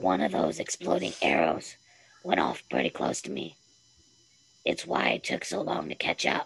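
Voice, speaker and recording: A put-on character voice, raspy and husky, sits at a very deep, low pitch and moves at a moderate pace. Long pauses break it up often. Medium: read story. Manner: quiet, terse.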